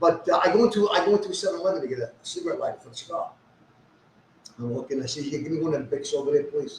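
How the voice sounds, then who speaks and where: Over noticeable background noise, a man speaks at a very fast pace with big swings in loudness. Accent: New York. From New York. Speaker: social media personality. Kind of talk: casual chat. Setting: live stream. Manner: animated.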